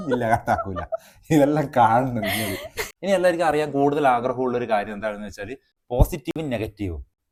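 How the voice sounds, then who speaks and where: Lively intonation runs through a man's unremarkable speaking voice. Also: medium pitch for a man. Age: 30s. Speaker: YouTube vlogger. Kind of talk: casual chat. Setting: outdoors.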